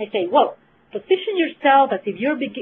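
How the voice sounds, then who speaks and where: A woman speaks at a high pitch. Her pitch swings very widely. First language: Spanish. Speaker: clinical research trainer. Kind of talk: webinar presentation. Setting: webinar.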